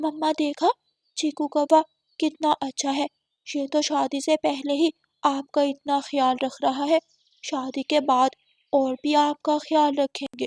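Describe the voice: A woman's cartoonish character voice, high-pitched, fairly slow and monotone with flat intonation.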